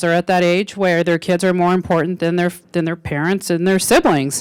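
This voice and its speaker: The speaker has an American accent, and the recording is very clean with a silent background. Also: woman. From Arizona. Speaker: law enforcement speaker. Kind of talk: public talk. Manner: loud; halting.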